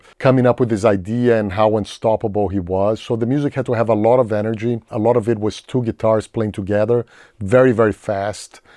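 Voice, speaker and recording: The speaker has a Portuguese accent and a dark, mellow tone, with monotone, flat intonation at a fairly quick pace and hardly any pauses. The sound is dry and close with no echo, against a quiet background. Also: man. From Brazil, São Paulo. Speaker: film composer. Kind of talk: interview.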